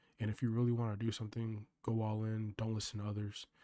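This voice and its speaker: A soft-spoken man talks at a very fast pace, medium in pitch with a dark, mellow tone. The recording is very clean with a silent background, and the sound is dry and close with no echo. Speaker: vlogger. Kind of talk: casual monologue. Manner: monotone.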